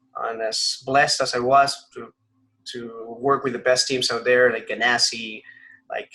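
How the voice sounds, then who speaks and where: A man in a Spanish accent, at a fairly slow pace. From Colombia, Bogotá. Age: 30s. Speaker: racing driver. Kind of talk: interview. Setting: video call.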